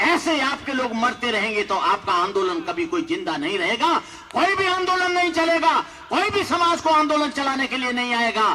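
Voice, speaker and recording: Over noticeable background noise, a man uses a raised, projected voice. His pitch is extremely high for a man and swings very widely. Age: 60s. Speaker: Buddhist monk. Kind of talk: public speech. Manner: impassioned.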